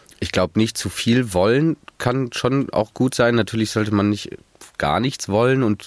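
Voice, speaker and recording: A man with a normal speaking voice talks at a moderate pace. His pitch is fairly low with ordinary variation. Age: 20s. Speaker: master's student, mentee. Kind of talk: podcast interview.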